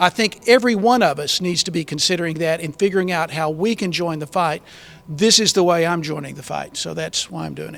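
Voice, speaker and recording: With a Texan accent, a man speaks fairly quickly at a high pitch, with ordinary pitch variation and big swings in loudness. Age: 60s. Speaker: political candidate. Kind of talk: panel discussion. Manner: halting, many fillers.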